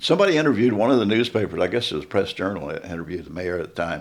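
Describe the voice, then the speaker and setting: A man is speaking. He has an American accent. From Florida. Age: 80s+. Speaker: small-town mayor. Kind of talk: interview.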